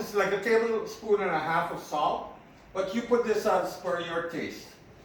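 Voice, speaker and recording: Amid noticeable background noise and audible room echo, a man talks at a moderate pace with fairly even intonation. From Guyana (Berbice). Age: 60s. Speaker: home cook vlogger. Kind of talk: cooking tutorial with personal stories. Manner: casual, conversational.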